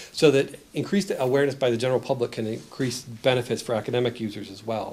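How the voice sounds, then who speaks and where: At a very fast pace, a man speaks in a medium pitch with ordinary pitch variation and big swings in loudness. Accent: American. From United States. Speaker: professor presenting research report. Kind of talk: conference presentation. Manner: hesitant, many fillers and restarts.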